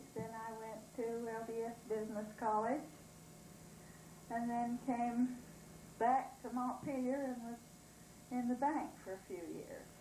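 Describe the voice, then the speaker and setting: With an American accent, a woman speaks in a fairly high voice at a fairly slow pace with fairly even intonation and long, frequent pauses, amid noticeable background noise and audible room echo. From southeastern Idaho. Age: 70s. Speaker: former town resident. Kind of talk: interview. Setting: at home.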